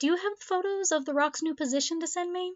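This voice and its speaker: A woman's squeaky, put-on character voice at an extremely high pitch and a very fast pace. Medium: read story. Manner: bright, professional.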